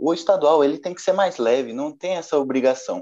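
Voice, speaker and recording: The man's tone is dark and mellow. His intonation is lively and his pace fairly quick. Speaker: journalism student and football podcast host. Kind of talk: casual football discussion podcast.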